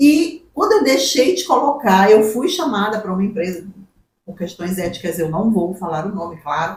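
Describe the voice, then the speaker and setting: A woman speaks at a moderate pace with very wide pitch swings. Her loudness shifts in big swings. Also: medium pitch for a woman. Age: 60s. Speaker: human resources professional. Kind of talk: podcast interview.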